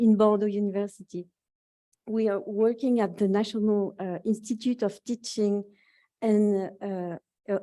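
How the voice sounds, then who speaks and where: Speaking at a moderate pace in a French accent, a woman has a dark, mellow tone at medium pitch. Her intonation is monotone and flat, with long, frequent pauses. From France. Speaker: university researcher. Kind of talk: conference presentation.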